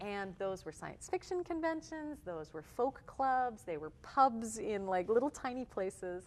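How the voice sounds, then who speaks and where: A woman speaks at a moderate pace with a slight Canadian accent. Her intonation is lively. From Canada, Toronto. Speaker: touring musician. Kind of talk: interview.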